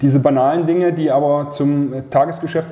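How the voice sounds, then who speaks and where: A man with a fairly high pitch talks at a moderate pace, with audible room echo and noticeable background noise. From Leipzig, Saxony. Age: 30s. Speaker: football club vice president. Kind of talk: casual interview.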